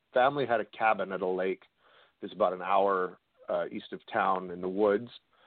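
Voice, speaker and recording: A man with a western Canadian accent at a fairly quick pace. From Canada, British Columbia (Kamloops). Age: 40s. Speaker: paranormal investigator and documentary director. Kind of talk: interview on a call-in radio show.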